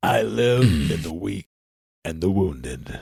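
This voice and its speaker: In a put-on character voice, a man speaks at a fairly slow pace with a very deep, low pitch and a raspy sound. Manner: put-on imitation of someone's voice.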